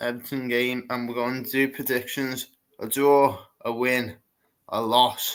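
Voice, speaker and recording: At a fairly slow pace, a man speaks with monotone, flat intonation at a medium pitch. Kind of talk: casual match preview talk to camera.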